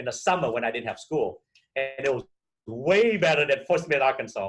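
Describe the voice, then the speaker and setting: A man with a Vietnamese accent talks at a fairly quick pace and a fairly high pitch. His voice is somewhat breathy, with lively intonation. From Vietnam, emigrated at 12 to Minnesota. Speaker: real estate broker. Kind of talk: interview. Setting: podcast.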